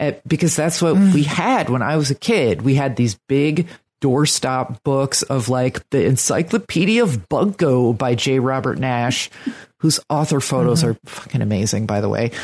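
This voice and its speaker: A woman with an American accent and a very deep, low pitch, lively intonation, very even loudness and a moderate pace against a quiet background. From New Jersey. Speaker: true crime writer and bookseller. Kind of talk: casual chat. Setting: video call.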